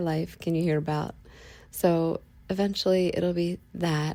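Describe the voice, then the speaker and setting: Recorded very cleanly against a silent background, a woman speaks in a fairly low, dark, mellow tone with monotone, flat intonation. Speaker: podcast host. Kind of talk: casual monologue. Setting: lying in bed at home.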